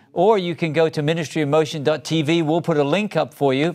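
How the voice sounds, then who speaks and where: Here a man with an unremarkable speaking voice talks at a moderate pace and a fairly high pitch. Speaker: ministry talk show host. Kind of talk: interview.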